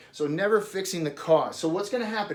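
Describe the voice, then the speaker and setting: A high-pitched man at a fairly quick pace with ordinary pitch variation, amid noticeable background noise. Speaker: doctor giving patient education. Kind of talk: informal explanatory talk at a whiteboard. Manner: fast.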